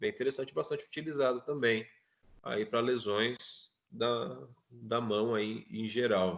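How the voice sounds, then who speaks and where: A man with ordinary pitch variation and a medium pitch delivers his words at a very slow pace. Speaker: physiotherapy student presenting. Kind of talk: class presentation.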